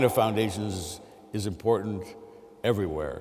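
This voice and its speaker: With audible room echo, a man talks at a moderate pace in a fairly low voice with ordinary pitch variation. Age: 60s. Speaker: mathematics professor. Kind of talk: lecture. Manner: halting, with many fillers.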